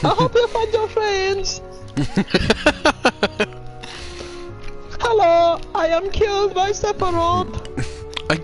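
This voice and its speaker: A put-on character voice at an extremely high pitch speaks at a very slow pace over clear music in the background. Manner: silly, exaggerated.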